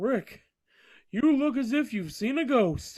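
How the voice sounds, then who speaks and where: Putting on a character voice, a man speaks in an extremely high pitch at a fairly slow pace with lively intonation. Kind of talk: 1950s B-movie radio acting. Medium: stage play.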